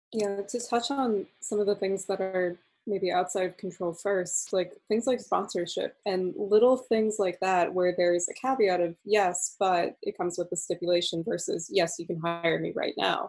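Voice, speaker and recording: An unremarkable speaking voice moves at a moderate pace with ordinary pitch variation and hardly any pauses. The background is quiet. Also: woman, medium pitch for a woman. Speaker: podcast host. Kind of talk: interview.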